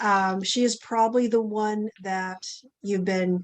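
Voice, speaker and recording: A woman's medium-pitched, fairly even voice, a plain, everyday voice, against a quiet background. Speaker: dog training instructor. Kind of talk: online orientation talk.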